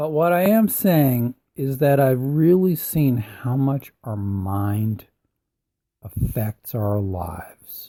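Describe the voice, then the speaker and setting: Dark and mellow in tone, a man's somewhat breathy voice comes through dry and close, with no echo, on a very clean recording with a silent background. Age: 70s. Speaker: personal growth podcaster. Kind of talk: motivational podcast talk.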